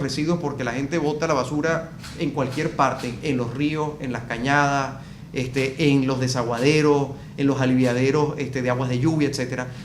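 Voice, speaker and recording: Fairly quick speech comes from a man with a Venezuelan accent and a fairly high voice. Both background noise and room echo are audible. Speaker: business consultant. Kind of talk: interview discussion. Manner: hesitant with fillers.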